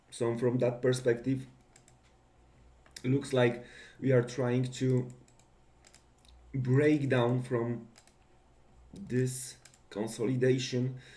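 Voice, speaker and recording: A man at a medium pitch speaks very slowly in a somewhat breathy, monotone, flat voice, with long, frequent pauses. His loudness stays very even, and audible room echo fills the recording. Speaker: market analyst. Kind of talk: market preview.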